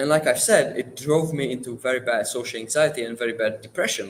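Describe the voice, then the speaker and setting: A man speaks with a Czech accent. His voice is somewhat breathy. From Czech Republic. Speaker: livestream guest sharing life story. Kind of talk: personal testimony. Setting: livestream. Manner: halting, self-correcting.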